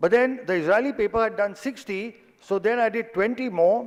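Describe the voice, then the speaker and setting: A man talks with ordinary variation in pitch. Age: 60s. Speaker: doctor. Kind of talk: lecture.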